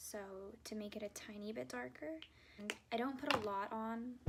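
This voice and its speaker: A woman speaks at a moderate pace with a fairly high pitch and ordinary pitch variation, over noticeable background noise. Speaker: beauty vlogger. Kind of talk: makeup tutorial. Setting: dorm room. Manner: casual, filler-heavy; quiet at times.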